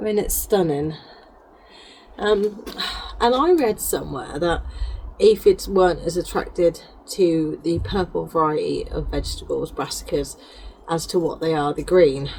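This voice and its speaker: A woman's speech with long, frequent pauses and noticeable background noise. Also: moderate pace. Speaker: gardener. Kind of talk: casual talk to camera.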